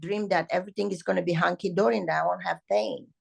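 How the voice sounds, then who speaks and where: A woman's voice shows vocal fry in a dry, close sound with no echo. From Romania. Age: 70s. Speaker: ballet teacher. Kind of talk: interview. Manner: animated.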